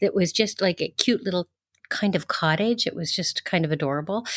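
With a Canadian accent, a woman uses an unremarkable speaking voice at medium pitch with ordinary pitch variation, captured in a very clean recording with a silent background and a dry, close sound with no echo. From Canada, Ontario (Toronto). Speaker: rental agency founder. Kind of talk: interview.

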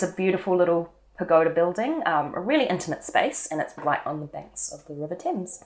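Talking very fast with a New Zealand accent, a woman uses a fairly low pitch and ordinary pitch variation. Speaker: cellist and podcast co-host. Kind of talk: casual chat and interview.

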